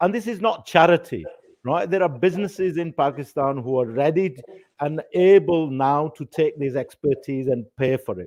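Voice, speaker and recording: The voice carries a Yorkshire accent with lively intonation. It moves at a moderate pace. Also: man, fairly high pitch for a man. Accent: Bradford. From Bradford, northern England. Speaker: panel moderator. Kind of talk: panel discussion. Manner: halting.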